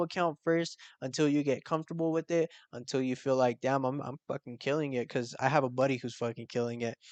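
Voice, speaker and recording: A man talks at a very fast pace with a fairly high pitch and ordinary pitch variation. The sound is dry and close with no echo, against a quiet background. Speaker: forex trading youtuber. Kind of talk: tutorial. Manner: animated.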